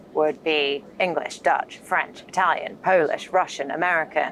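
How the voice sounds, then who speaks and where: In a British accent, the speaker goes at a fairly slow pace with ordinary pitch variation. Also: woman. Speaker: marketing executive. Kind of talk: interview conversation. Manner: animated storytelling.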